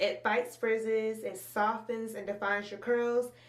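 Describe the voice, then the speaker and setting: A woman's fairly high-pitched voice comes through with noticeable background noise behind it. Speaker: beauty vlogger. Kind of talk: tutorial. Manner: fast; animated.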